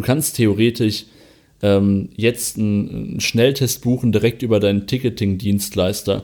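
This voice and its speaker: A man talks at a fairly slow pace with fairly even intonation and very even loudness, on a very clean recording with a silent background. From western Germany, Vulkaneifel. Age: 20s. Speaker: arena press spokesman. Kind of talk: podcast interview.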